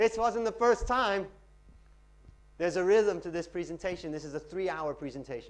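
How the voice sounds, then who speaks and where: Here a man speaks at a fairly quick pace. His pitch takes very wide swings. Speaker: finance lecturer and pitching trainer. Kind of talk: Q&A after a talk. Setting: lecture room with audience. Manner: fast.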